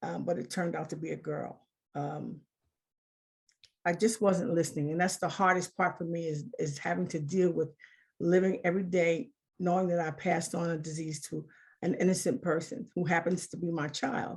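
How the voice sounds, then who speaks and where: A woman talks with vocal fry and ordinary pitch variation. The recording is very clean, with a silent background. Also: fairly low pitch for a woman, moderate pace. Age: 60s. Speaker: HIV survivor sharing testimony. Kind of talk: testimony.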